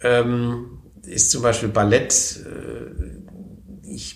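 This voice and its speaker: Vocal fry and ordinary pitch variation, with audible room echo. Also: man. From southwestern Germany, Baden (Wertheim, then Konstanz). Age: 40s. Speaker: member of parliament. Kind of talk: interview. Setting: office in parliament building.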